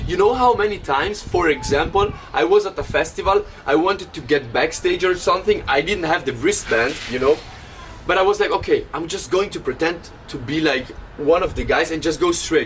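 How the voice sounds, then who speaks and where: Ordinary pitch variation in an Italian accent, against noticeable background noise. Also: man, high pitch for a man. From Italy. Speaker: DJ and podcast host. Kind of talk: casual chat. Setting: traveling to the beach. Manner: animated.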